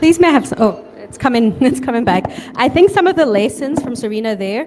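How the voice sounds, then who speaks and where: Speaking fairly quickly, a woman talks in a Scottish accent. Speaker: panel moderator. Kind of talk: panel discussion.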